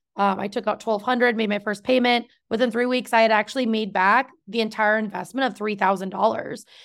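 A woman talks at a fairly quick pace with hardly any pauses, her pitch fairly high and her intonation fairly even. It is a plain, everyday voice on a very clean recording with a silent background. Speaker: podcast host and business owner. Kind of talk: casual interview chat.

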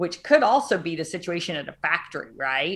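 On a very clean recording with a silent background, a woman with an American accent talks at a moderate pace in a fairly low pitch. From US South, Arkansas. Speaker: tech company CEO. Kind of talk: interview. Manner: animated, many fillers.

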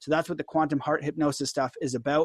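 In a dry, close recording with no echo, a man talks at a very fast pace with a fairly high pitch. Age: 30s. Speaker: podcaster and video commentator. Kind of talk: casual monologue commentary. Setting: screen-share video, online stream. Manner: fast talker; informal, animated.

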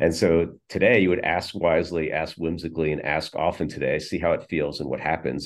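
Talking at a fairly quick pace, a man with a very deep, low pitch keeps his intonation fairly even, with vocal fry. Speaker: entrepreneur and author. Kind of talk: casual interview.

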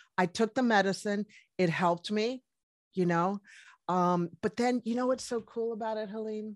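In a very clean recording with a silent background and a dry, close sound with no echo, a woman talks in a normal speaking voice at a fairly high pitch, with ordinary pitch variation and a moderate pace. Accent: American. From US, Washington D.C. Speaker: medical doctor. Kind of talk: interview.

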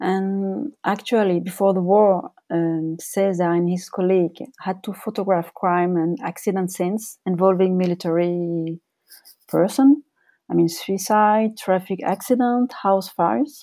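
A woman with a French accent speaks at a fairly slow pace in a dark, mellow tone with ordinary pitch variation. The recording is very clean, with a silent background. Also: medium pitch for a woman. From France. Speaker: journalist and author. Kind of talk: interview. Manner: hesitant, with fillers.

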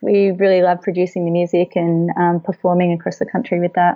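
The speaker has an Australian accent and a fairly quick pace. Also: woman. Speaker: children's book author and agricultural educator. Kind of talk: interview.

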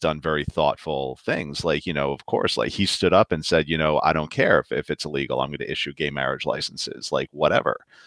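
Speaking at a fairly quick pace with a New York accent, a man uses vocal fry in a dry, close sound with no echo. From New York City. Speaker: novelist. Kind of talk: casual chat. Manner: halting.

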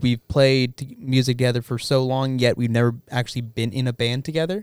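A man with an American accent talks at a moderate pace and a medium pitch. The sound is dry and close, with no echo. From El Paso, West Texas. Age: 20s. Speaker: musician. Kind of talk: casual chat. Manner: halting.

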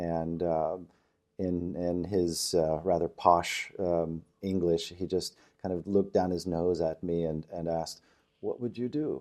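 A man's very deep, low voice with a dark, mellow tone, an American accent, fairly even intonation and a fairly slow pace, on a very clean recording with a silent background. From Oklahoma, Tulsa area. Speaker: trainer and business founder. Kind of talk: interview. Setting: in person.

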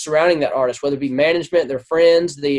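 A man talks in a Southern US accent. The sound is dry and close, with no echo. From Louisiana. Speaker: songwriter and producer. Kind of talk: casual interview.

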